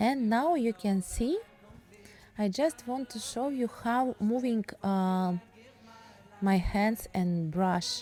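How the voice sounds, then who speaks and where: A woman with a Russian accent at a fairly high pitch, with lively intonation, a very slow pace and long, frequent pauses, over music in the background. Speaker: painting teacher. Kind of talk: tutorial. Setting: home studio. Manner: halting.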